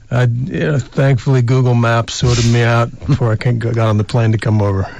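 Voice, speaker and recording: A man with an American accent speaks at a fairly quick pace and medium pitch, with very even loudness and fairly even intonation. Noticeable background noise runs underneath. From Colorado, US. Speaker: baseball coach. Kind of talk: radio interview. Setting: radio studio.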